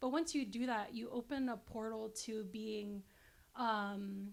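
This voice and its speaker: A woman with a Guam accent, fairly high in pitch and fairly even in intonation. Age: 20s. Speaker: political science background guest. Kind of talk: casual interview. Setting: filmed at a women's business center.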